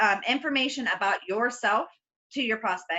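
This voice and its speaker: Her voice is fairly high in pitch, and this woman keeps a moderate pace. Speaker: team trainer for online business. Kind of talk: team training on video call. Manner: loud; animated. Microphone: voice fading in and out, very quiet.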